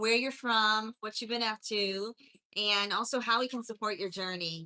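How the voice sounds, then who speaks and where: Speaking in a strong Appalachian accent, a woman with a fairly high pitch and a bright, sharp tone keeps a moderate pace and fairly even intonation. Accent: strong Appalachian North Carolina. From US South, mountains of North Carolina. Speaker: life coach. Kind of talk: motivational livestream talk. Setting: live stream.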